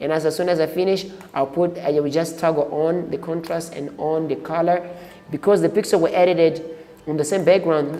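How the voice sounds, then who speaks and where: Music can be heard in the background. The speech moves at a moderate pace. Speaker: photo editing tutor. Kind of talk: tutorial. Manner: halting with repetitions.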